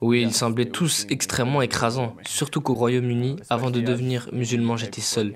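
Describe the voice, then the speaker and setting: A man at a moderate pace, medium in pitch, with a monotone, flat intonation. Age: 20s. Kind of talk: interview answer. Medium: dub.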